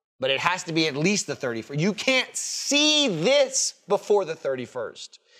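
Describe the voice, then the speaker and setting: A man speaks in a high, raised, projected voice with a bright, sharp tone. He goes at a fairly slow pace with very wide pitch swings. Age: 30s. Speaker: podcast co-host. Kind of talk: casual chat. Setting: studio.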